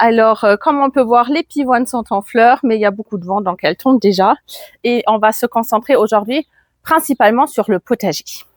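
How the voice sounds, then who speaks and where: At a moderate pace, a woman with a fairly high pitch speaks with ordinary pitch variation on a very clean recording against a silent background. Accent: slight German. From Germany. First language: German (speaking French). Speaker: gardening youtuber. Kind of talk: garden tour vlog. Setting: outdoors in garden. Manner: casual, with hesitations.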